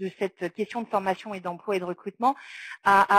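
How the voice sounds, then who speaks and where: A woman with a medium-pitched voice talks at a moderate pace and keeps her intonation fairly even. The sound is dry and close, with no echo. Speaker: round-table speaker on social work training. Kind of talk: round-table presentation. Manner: halting, many fillers.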